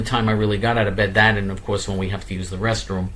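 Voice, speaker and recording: Audible room echo surrounds a man with a fairly low pitch. He speaks at a fairly quick pace. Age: 60s. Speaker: political activist show host. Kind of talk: monologue.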